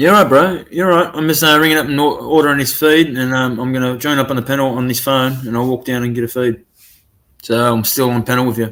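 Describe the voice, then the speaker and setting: An Australian accent from a man at medium pitch, fairly quick in pace, with ordinary pitch variation. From New South Wales, Australia. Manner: casual, laid-back.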